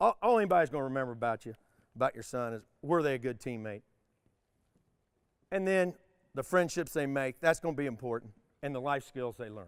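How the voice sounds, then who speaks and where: This man's pitch is fairly high and his intonation lively. He talks at a fairly quick pace. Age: 60s. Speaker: retired basketball coach. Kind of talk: motivational speech.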